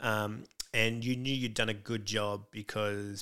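A man speaks with an Australian accent. His voice is fairly low in pitch, with a bright, sharp tone. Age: 40s. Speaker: comedian. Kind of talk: casual chat.

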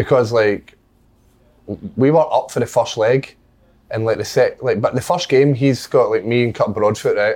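With a Scottish accent, a man speaks with long, frequent pauses. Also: moderate pace. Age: 20s. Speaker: footballer. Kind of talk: casual chat.

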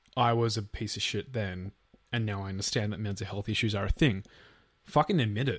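In a very clean recording with a silent background, a man with an Australian accent talks at a fairly quick pace, his fairly low, somewhat breathy voice showing ordinary pitch variation. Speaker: podcast co-host. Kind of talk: true crime storytelling.

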